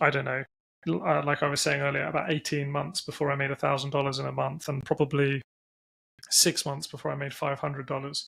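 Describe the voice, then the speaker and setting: Dry and close with no echo, this recording has a man with an English accent talking at a fairly quick pace. His fairly high voice has a bright, sharp tone and monotone, flat intonation. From England. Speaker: entrepreneur, company CEO. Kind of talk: podcast interview.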